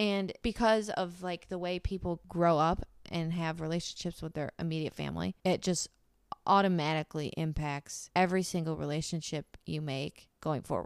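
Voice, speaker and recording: A woman talks in an ordinary speaking voice at fairly low pitch, a moderate pace and fairly even intonation. The recording is very clean with a silent background, dry and close with no echo. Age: 20s. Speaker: podcast co-host. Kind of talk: casual chat.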